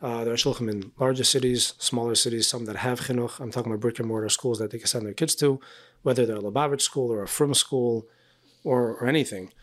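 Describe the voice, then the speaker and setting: Speaking very fast, a man with an American accent keeps a medium pitch and fairly even intonation. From US, El Paso, Texas. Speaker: rabbi, emissary. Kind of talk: casual interview conversation. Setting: quiet apartment during a conference.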